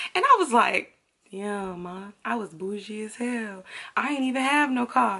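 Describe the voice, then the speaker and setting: Her pace fairly slow, a woman speaks with very wide pitch swings. Her loudness rises and falls a great deal. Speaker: YouTuber. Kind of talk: storytime. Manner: animated.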